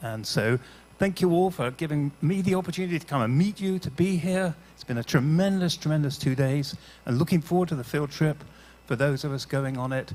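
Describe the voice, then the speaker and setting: Speaking fairly quickly, the voice comes across somewhat breathy. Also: man, fairly high pitch for a man, ordinary pitch variation. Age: 60s. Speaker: conference speaker. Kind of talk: closing remarks. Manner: animated.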